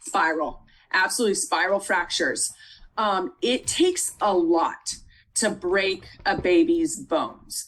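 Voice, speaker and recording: Here is an ordinary speaking voice from a woman at medium pitch with lively intonation. She keeps a fairly slow pace and very even loudness. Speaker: nursing tutor. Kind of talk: tutoring lecture.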